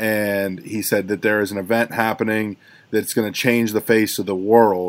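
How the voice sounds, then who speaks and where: A man talks at a fairly slow pace and a fairly low pitch, with monotone, flat intonation. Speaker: producer and high school teacher. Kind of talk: casual podcast chat.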